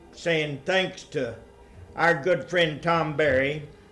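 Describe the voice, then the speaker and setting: A man at a fairly slow pace with fairly even intonation, audible room echo and noticeable background noise. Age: 70s. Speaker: retired mathematics professor giving a talk. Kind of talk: lecture. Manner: halting.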